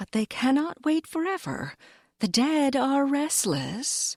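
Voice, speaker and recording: A soft-spoken, female-sounding put-on character voice with high pitch, a gentle tone and a fairly slow pace. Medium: read story. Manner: gentle, tender.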